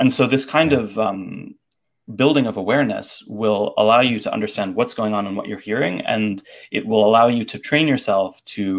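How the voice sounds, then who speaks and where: Over a quiet background, a man with an American accent speaks at medium pitch and a fairly quick pace. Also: ordinary pitch variation. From Boston. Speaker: language tutor and phonology teacher; language tutor, phonology teacher. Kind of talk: casual livestream conversation. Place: home room. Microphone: earbuds.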